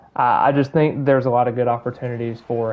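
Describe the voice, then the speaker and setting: A man talks with a slight Southern US accent. His pitch sits at a medium level. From Alabama. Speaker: gaming streamer. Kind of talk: live gameplay commentary and casual chat. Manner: hesitant, repeats words.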